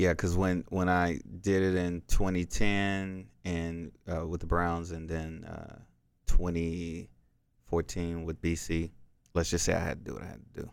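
In an American accent, a man talks at a fairly slow pace with monotone, flat intonation and big swings in loudness, on a very clean recording with a silent background. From Texas, South Dallas. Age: 30s. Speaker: former NFL player and motivational speaker. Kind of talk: casual interview chat. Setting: studio.

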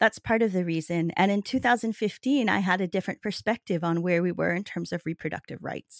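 A woman speaks at medium pitch in an unremarkable speaking voice, with lively intonation and a moderate pace. The sound is dry and close with no echo, in a very clean recording with a silent background. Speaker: novelist. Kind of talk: interview.

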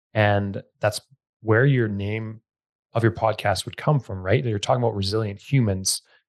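At a moderate pace, a man uses a normal speaking voice with fairly low pitch and fairly even intonation, dry and close with no echo over a quiet background. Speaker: podcast host and gym owner. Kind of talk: casual interview.

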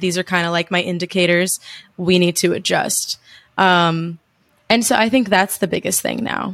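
A woman speaks with a New Jersey accent at a moderate pace and medium pitch, in monotone, flat intonation. The recording is very clean, with a silent background. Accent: New Jersey American. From US, New Jersey. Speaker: travel podcaster and digital nomad. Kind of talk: casual interview chat.

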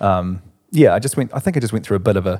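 This is a man talking. He has a New Zealand accent. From New Zealand, Christchurch. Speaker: musician. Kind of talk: casual chat. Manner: halting.

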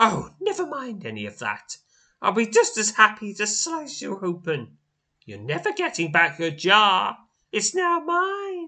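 In a raised, projected put-on character voice, a man speaks at a high pitch and a fairly slow pace, with hissing. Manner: menacing, gleeful.

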